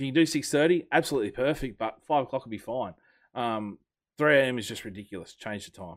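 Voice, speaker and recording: The voice moves at a very fast pace with lively intonation and big swings in loudness. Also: man, medium pitch for a man. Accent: Australian. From Australia. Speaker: rugby league podcast host. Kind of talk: casual chat.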